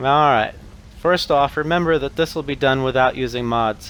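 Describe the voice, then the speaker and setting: A man's robotic voice sits at medium pitch. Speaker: gaming youtuber. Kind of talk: tutorial read from notes. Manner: flat, robotic reading.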